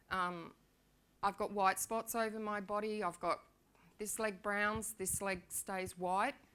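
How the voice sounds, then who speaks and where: Her tone bright and sharp, a woman speaks at a medium pitch and a very slow pace in a monotone, flat intonation. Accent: Australian. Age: 60s. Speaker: patient sharing her illness story. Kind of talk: personal testimony talk. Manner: halting, many fillers.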